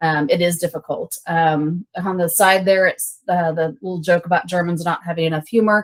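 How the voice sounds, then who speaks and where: With a fairly low pitch, a woman talks in a monotone, flat intonation. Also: hardly any pauses. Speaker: paramedic instructor. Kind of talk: lecture. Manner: fast.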